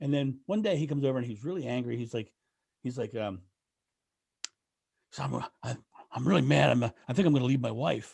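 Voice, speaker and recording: A man with an American accent talks at a fairly quick pace with lively intonation and vocal fry. Long pauses come often. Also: medium pitch for a man. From Delaware, US. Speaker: renaissance fair performer. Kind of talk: podcast interview. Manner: halting, repetitive starts.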